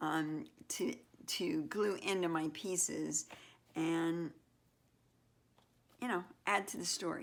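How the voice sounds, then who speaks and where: A woman mumbles at a very slow pace with long, frequent pauses. The recording is very clean, with a silent background. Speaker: mixed media artist. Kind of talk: casual studio tutorial narration. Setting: home art studio. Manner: mumbling, thinking aloud; hesitant, halting.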